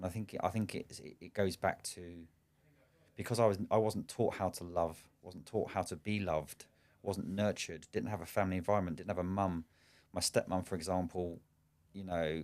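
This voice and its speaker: In a southern English accent, a man with a very deep, low pitch and fairly even intonation speaks at a moderate pace, with long, frequent pauses and big swings in loudness, on a very clean recording with a silent background. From England, Slough. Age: 40s. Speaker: business owner and coach. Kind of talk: podcast interview. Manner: halting, frequent repetitions.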